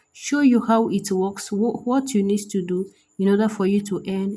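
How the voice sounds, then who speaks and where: A woman's dark, mellow, somewhat breathy voice at medium pitch, with a moderate pace and fairly even intonation. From Nigeria. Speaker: app review YouTuber. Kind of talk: tutorial.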